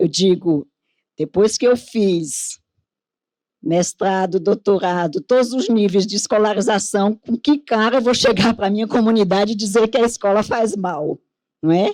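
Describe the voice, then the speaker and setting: A woman speaks at medium pitch and a fairly slow pace, with ordinary pitch variation, in a normal speaking voice. The recording is very clean with a silent background, and the sound is dry and close with no echo. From Northeast Brazil. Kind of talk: conference panel talk.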